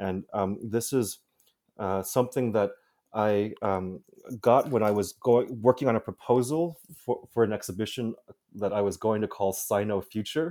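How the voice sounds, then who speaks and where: In a Midwestern accent, a man with a fairly low pitch and a dark, mellow tone speaks at a moderate pace with ordinary pitch variation, recorded very cleanly against a silent background. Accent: American, Midwestern. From US Midwest, Chicago. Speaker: curator. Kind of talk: interview. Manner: halting, many fillers and repetitions.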